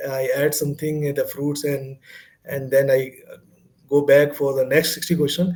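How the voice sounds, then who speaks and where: A man's fairly high-pitched voice comes through somewhat breathy. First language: not English. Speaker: exam candidate sharing success story. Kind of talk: interview. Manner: halting.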